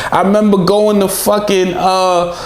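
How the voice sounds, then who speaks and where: A man with a New York accent, audible room echo and noticeable background noise. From Brooklyn, New York (Haitian family). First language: Haitian Creole. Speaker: podcast guest. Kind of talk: casual chat. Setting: studio.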